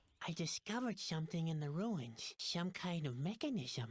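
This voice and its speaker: A female-sounding, put-on character voice sits at a middle pitch. The pace is moderate. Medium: video game.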